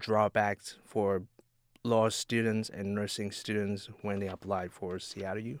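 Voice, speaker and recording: A man speaks with a Vietnamese accent. The recording is very clean, dry and close, with a silent background and no echo. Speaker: student podcast co-host. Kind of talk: casual interview. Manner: halting, repeats words.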